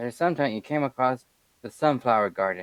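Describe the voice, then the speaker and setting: This man talks at a moderate speed. The pitch of his voice rises and falls very widely. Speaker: streamer. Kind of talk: reading aloud. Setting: live stream. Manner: halting.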